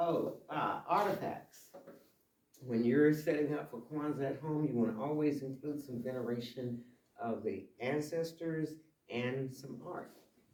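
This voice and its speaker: A man speaks at a fairly slow pace with a fairly high pitch, his voice carrying audible room echo. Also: long, frequent pauses. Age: 70s. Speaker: shop owner and community presenter. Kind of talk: community talk. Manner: animated.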